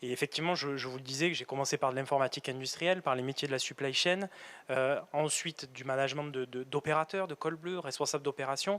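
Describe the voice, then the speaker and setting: A man's fairly high-pitched voice in a southern French accent, with fairly even intonation at a fairly quick pace. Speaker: factory manager. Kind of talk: career interview in a webinar. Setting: on site at a factory, webinar filming. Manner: halting, many repetitions and hesitations.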